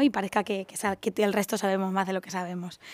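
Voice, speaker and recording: The sound is dry and close, without any echo. A woman rattles along very fast. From Andalusia, Seville. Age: 30s. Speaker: stylist and craft brand founder. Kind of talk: interview.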